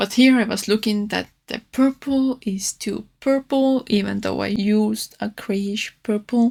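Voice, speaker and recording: On a very clean recording with a silent background, a woman with a non-native accent and a fairly high pitch speaks somewhat breathily at a fairly slow pace, with fairly even intonation and hardly any pauses. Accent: non-native English, own R's and S's. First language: not English. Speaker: artist. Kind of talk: casual narrated art tutorial voiceover. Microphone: new microphone, re-recorded audio.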